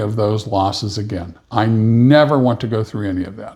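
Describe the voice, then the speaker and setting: A man is speaking. His voice is somewhat breathy, with ordinary pitch variation. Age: 70s. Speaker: podcast co-host. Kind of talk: casual chat.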